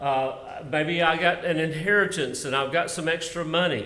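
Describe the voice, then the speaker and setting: In a Southern US accent, a man with a fairly high pitch speaks at a fairly slow pace with ordinary pitch variation amid audible room echo. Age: 60s. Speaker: minister and retirement benefits presenter. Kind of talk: presentation to church workers. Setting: live-streamed meeting.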